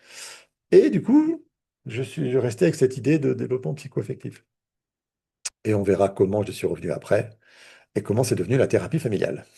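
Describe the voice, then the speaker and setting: A man's medium-pitched, dark and mellow voice with vocal fry, a fairly quick pace, and long, frequent pauses. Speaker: therapist and trainer. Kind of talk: online training lecture. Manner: hesitant, repeats words.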